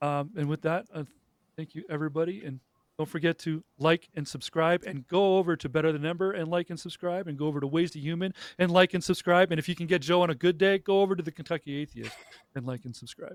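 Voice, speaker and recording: A man with a high pitch speaks at a very fast pace with fairly even intonation, in a very clean recording with a silent background and a dry, close sound with no echo. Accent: Canadian. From Canada. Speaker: YouTube host. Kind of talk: casual panel chat. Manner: hesitant, many fillers.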